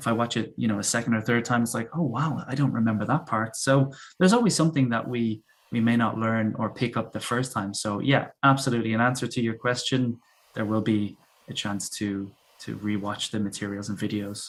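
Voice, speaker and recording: This man speaks in a Dublin accent. His pace is fairly quick. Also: medium pitch for a man, very clean recording, silent background. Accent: soft Dublin. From Ireland, Dublin. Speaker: English teacher. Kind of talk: casual chat. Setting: live stream.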